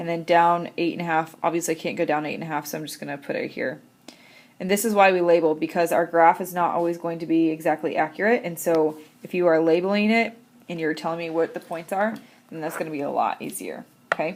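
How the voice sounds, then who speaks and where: A woman's fairly low voice at a very fast pace, with big swings in loudness. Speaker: math teacher. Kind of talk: tutorial.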